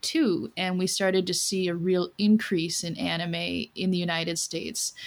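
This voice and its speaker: At a fairly slow pace, an unremarkable speaking voice comes through a very clean recording with a silent background. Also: woman. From US Midwest. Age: 40s. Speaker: doll collector guest. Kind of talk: casual chat.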